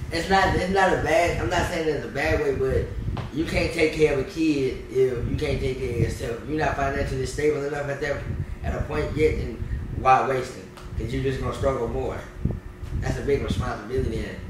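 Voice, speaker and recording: A man talks at a fairly quick pace amid noticeable background noise and audible room echo. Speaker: content creator and rapper. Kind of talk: casual interview. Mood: relaxed, joking, sometimes serious. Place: home room.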